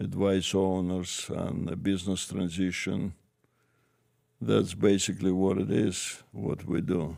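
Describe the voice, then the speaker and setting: A man speaks with a Russian accent in a very deep, low pitch. His tone is dark and mellow, and his pace is fairly slow. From former Soviet Union. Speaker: business advisor. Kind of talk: interview. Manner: halting.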